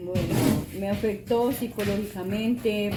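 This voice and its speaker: Against music in the background and audible room echo, a woman talks at a medium pitch with ordinary pitch variation. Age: 60s. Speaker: interviewee. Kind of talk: testimony. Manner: halting.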